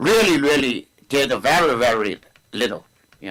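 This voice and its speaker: With a non-native accent, a man speaks in a bright, sharp tone at a moderate pace, his pitch swinging very widely. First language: not English. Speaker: mayor chairing city council meeting. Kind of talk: chairing a public meeting; council meeting report.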